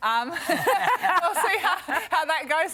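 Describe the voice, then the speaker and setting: Noticeable background noise surrounds a woman's raised, projected voice. Her pitch swings very widely. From New Zealand. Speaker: netball coach. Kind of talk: TV interview. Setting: TV studio. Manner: hesitant, many fillers.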